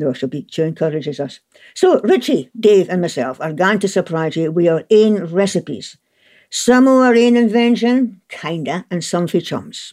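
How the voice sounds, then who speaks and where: A woman with a Scottish accent and a dark, mellow tone speaks at a medium pitch and moderate pace, making very wide pitch swings in a very clean recording with a silent background. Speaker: gardening radio host. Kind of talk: casual chat.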